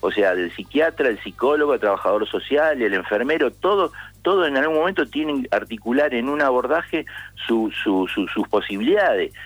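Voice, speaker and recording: A man speaks with vocal fry at a fairly high pitch, his loudness very even. His pitch swings very widely. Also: moderate pace. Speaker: psychologist, co-author of a mental health law. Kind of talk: radio interview. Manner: halting, frequent word repetitions.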